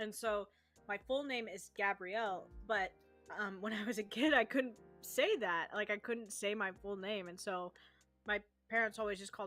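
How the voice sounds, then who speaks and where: Music plays in the background as a woman speaks at a medium pitch with fairly even intonation. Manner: over-enunciating.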